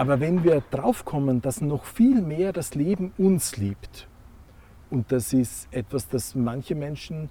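A man's somewhat breathy voice, fairly high in pitch, with a dark, mellow tone and lively intonation. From Austria, Graz. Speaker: meaning and values coach, former monk and priest. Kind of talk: interview.

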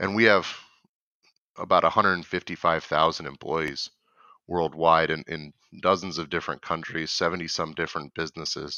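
With an American accent, a man with a very deep, low pitch talks at a fairly quick pace with fairly even intonation and long, frequent pauses. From Michigan. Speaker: corporate data analytics coach. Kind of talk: interview.

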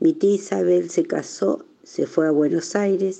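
Here a woman is speaking. Her pace is fairly slow. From Argentina, Tandil (born in Navarre, arrived as a baby). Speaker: Basque immigrant. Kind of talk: personal testimony.

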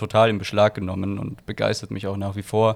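With a normal speaking voice, a man talks at a fairly low pitch with fairly even intonation. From Austria, Graz. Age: 20s. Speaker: photographer and wine spritzer entrepreneur. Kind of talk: casual chat.

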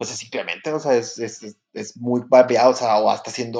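A man with monotone, flat intonation. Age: 30s. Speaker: podcast co-host. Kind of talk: casual chat. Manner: halting, many fillers.

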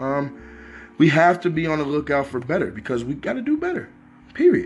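A man talks at a fairly quick pace. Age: 20s. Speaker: graduate student and aspiring blogger. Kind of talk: casual vlog monologue.

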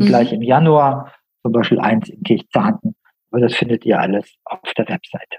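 Somewhat breathy, a man at medium pitch speaks at a moderate pace with very wide swings in pitch. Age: 60s. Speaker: healer and coach, former engineer. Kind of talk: interview.

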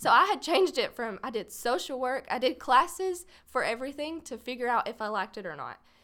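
A woman's raised, projected voice in a Texas accent, high-pitched with a bright, sharp tone, very wide pitch swings, a fairly quick pace and hardly any pauses. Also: big swings in loudness. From Paris, Texas. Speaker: photographer and videographer. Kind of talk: casual chat.

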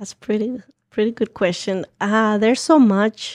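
Someone with a Guatemalan accent speaks with fairly even intonation in a dry, close sound with no echo. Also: woman. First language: Spanish. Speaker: community organizer. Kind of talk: interview. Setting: studio.

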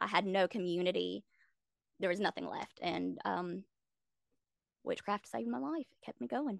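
A woman with an American accent at a moderate pace, long, frequent pauses, a dry, close sound with no echo and a quiet background. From South Carolina. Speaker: content creator and practicing witch. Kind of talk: interview conversation. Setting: podcast interview.

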